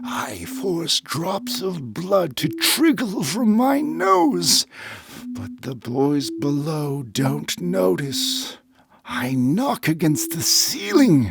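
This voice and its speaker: A man's put-on character voice, fairly high in pitch and very slow in pace. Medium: read story. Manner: urgent, racing the clock.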